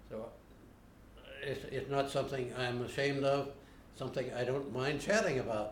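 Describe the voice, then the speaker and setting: The speaker has an American accent and a somewhat breathy voice with ordinary pitch variation at a moderate pace. There are long, frequent pauses and audible room echo. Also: man, fairly high pitch for a man. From Ohio. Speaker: interviewee. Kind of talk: interview. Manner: halting.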